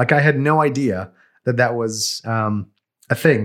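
A man with an American accent speaks at a moderate pace with lively intonation, in a normal speaking voice. The recording is very clean, with a silent background. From Brooklyn, New York City. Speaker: podcast co-host. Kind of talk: casual chat.

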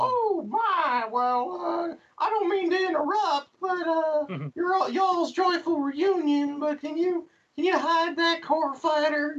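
Pitched extremely high, a female-sounding voice performs a put-on character voice at a fairly slow pace. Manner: hesitant, polite interrupting.

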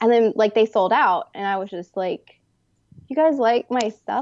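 A woman with a normal speaking voice at a fairly high pitch, dry and close with no echo, over a quiet background. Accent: American. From Texas. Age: young. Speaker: artist. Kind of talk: interview conversation.

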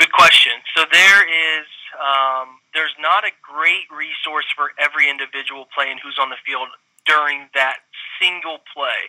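Fairly high in pitch, a man with a Midwestern American accent speaks at a fairly slow pace with fairly even intonation. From Central Ohio. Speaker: football film analyst, former college quarterback. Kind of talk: casual interview.

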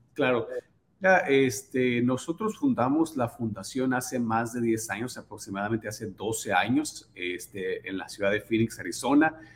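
At a fairly slow pace, a man speaks in a plain, everyday voice, medium in pitch with ordinary pitch variation. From Sonora, Mexico. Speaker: charity foundation founder. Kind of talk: casual interview. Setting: home office.

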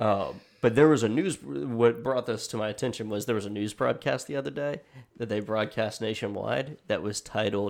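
Over a silent background on a very clean recording, a man with a plain, everyday voice talks fairly quickly at a medium pitch with ordinary pitch variation. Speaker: podcast host and audio editor. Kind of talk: casual chat. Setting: studio.

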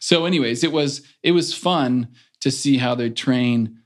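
A normal speaking voice with ordinary pitch variation. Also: man, quiet background. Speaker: former Olympic swimmer. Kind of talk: casual interview.

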